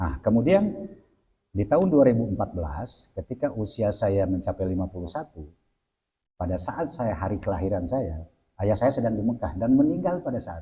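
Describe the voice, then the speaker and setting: Somewhat breathy voice with a dark, mellow tone, very wide pitch swings and a moderate pace. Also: man. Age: 60s. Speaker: Islamic cleric. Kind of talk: religious talk in interview.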